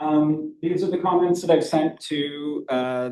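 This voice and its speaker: Ordinary pitch variation from a male speaker. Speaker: public commenter. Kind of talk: public comment at a meeting. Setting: city planning commission meeting. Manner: fast.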